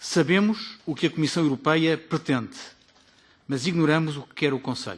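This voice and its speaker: Against a quiet background, a man talks at a very fast pace with lively intonation and big swings in loudness. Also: fairly high pitch for a man. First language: Portuguese. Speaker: politician. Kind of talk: formal committee speech. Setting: parliamentary committee meeting. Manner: formal.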